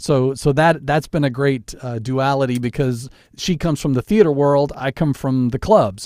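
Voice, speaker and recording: A man talks at a moderate pace with fairly high pitch and ordinary pitch variation. It is an ordinary speaking voice. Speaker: radio DJ and podcast host. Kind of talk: casual chat. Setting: home studio.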